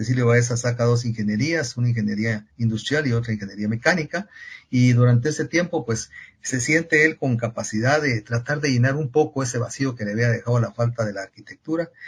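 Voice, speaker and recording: Somewhat breathy, a man talks at a fairly quick pace in a medium pitch. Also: ordinary pitch variation. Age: 70s. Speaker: engineering professor and consultant. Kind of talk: podcast interview.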